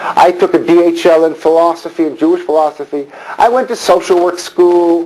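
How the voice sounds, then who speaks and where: Against noticeable background noise, a man's intonation is lively. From Montreal, Canada. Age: 60s. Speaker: rabbi. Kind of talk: lecture. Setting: synagogue hall with audience.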